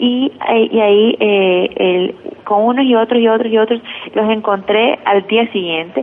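Medium pitch with ordinary variation, in a woman's voice. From Ecuador, Guayaquil. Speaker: journalist. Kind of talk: interview.

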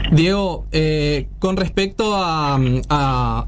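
A man speaks with audible room echo. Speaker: radio host. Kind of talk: casual radio interview.

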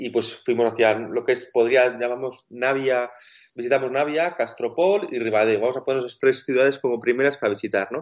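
The speaker uses a normal speaking voice at a fairly quick pace. The intonation stays fairly even. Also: man, medium pitch for a man. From Basque Country. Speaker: wheelchair-using travel blogger. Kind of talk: interview.

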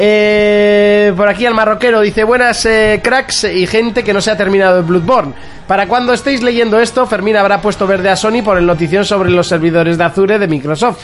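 Hardly pausing, a man talks at a fairly quick pace in a high voice with ordinary pitch variation and very even loudness, with noticeable background noise. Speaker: video game podcast host. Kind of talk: casual chat. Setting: live stream with camera.

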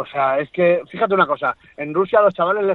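The speaker is a man whose pitch varies in an ordinary way. He talks fairly quickly. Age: 40s. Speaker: MMA fighter and coach. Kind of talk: interview. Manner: animated.

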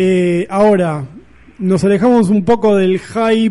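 The voice belongs to a man with a high pitch and a dark, mellow tone. His intonation is fairly even. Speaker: film critic columnist on radio. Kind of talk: radio chat. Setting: studio.

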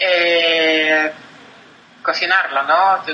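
A woman with a Russian accent speaks at a fairly low pitch in a monotone, flat manner. Noticeable background noise runs under her voice. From Russia, Voronezh. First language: Russian (speaking Spanish). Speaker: tourism sales professional. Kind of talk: interview.

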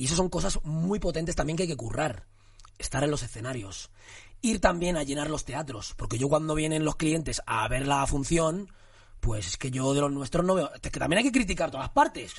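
Here a man speaks in an unremarkable speaking voice at a fairly high pitch. His intonation is lively and his pace fairly quick. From Barcelona area, Spain (Cornellà), Moroccan parents. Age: 30s. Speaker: actor. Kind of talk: casual chat.

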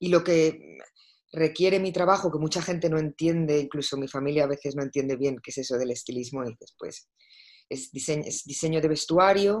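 Her pitch is very deep and low, with ordinary variation. The woman talks at a moderate pace. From Spain, Madrid. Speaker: fashion stylist and creative director. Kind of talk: interview.

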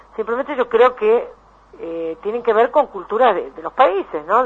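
A woman speaks with a Rioplatense accent. Her intonation is lively. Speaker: psychologist. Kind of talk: radio interview.

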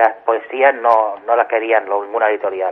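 The speaker is a man with a medium pitch. His intonation stays fairly even. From Catalonia. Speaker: poet. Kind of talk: interview. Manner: halting.

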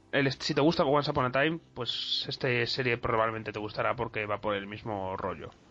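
Amid noticeable background noise, the speech runs fairly quickly with hardly any pauses and ordinary pitch variation. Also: man, medium pitch for a man. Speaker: podcast host. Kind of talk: casual chat.

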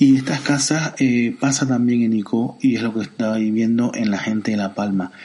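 At a moderate pace and with hardly any pauses, a man speaks at a medium pitch with fairly even intonation. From Canary Islands, Santa Cruz de Tenerife. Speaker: podcast host. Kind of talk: solo commentary podcast. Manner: halting, many fillers.

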